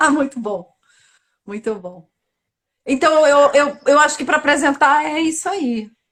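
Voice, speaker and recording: Speaking with a Bahian accent, a woman with a high voice uses lively intonation at a fairly slow pace, with big swings in loudness and long, frequent pauses. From Bahia, Brazil. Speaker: actress and theatre institute director. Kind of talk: casual chat.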